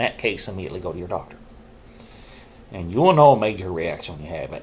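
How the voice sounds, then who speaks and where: A man speaks with very wide pitch swings. Noticeable background noise runs through the clip. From Arkansas. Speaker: mental health vlogger. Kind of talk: casual talk to camera.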